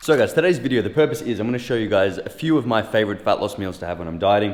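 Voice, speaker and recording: A man mumbles at a very fast pace with an Australian accent, his medium pitch rising and falling in lively intonation. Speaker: fitness youtuber. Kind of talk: casual vlog tutorial. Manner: mumbling; casual, joking.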